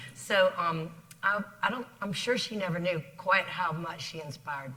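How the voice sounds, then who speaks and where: Through noticeable background noise, a woman with a Southern US accent speaks at a fairly low pitch with ordinary pitch variation and big swings in loudness. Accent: Southern drawl. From South Carolina. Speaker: business executive. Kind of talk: interview. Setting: stage with audience.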